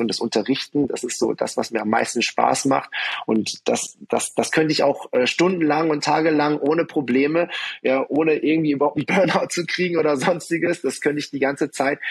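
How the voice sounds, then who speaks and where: A man speaking at a moderate pace. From southwestern Germany, Karlsruhe. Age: 40s. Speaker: martial arts studio owner. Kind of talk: interview conversation. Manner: hesitant, many fillers.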